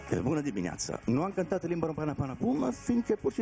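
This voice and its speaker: A man speaks with an Italian accent at a very fast pace with lively intonation. Music plays in the background. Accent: noticeable Italian accent in Romanian. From Italy. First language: Italian (speaking Romanian). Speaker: singer. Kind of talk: TV interview. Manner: halting.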